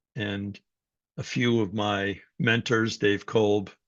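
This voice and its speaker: An unremarkable speaking voice, this man talks with a fairly low pitch and fairly even intonation. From New York City, Greek immigrant family. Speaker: psychology professor. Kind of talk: personal story in a talk.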